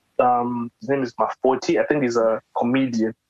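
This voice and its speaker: A normal speaking voice, a man at medium pitch with fairly even intonation and a dry, close sound with no echo. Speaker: podcast host interviewing a musician. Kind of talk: casual interview chat.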